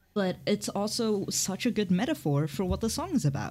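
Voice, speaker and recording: In a very clean recording with a silent background, a woman speaks at a moderate pace with lively intonation and vocal fry. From Hong Kong. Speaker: podcast co-host. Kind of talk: casual chat.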